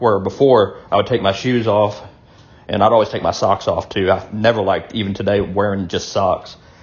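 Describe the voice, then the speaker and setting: Fairly quick and somewhat breathy, a man speaks at a fairly low pitch with fairly even intonation. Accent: Southern US. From US South. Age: 40s. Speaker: video blogger. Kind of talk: casual monologue. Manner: hesitant, many fillers.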